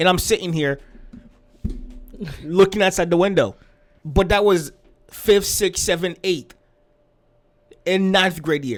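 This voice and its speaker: A man's high-pitched, fairly slow speech with fairly even intonation and long, frequent pauses. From Haiti. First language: not English (English is third language). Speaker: music reaction YouTuber. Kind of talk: casual chat.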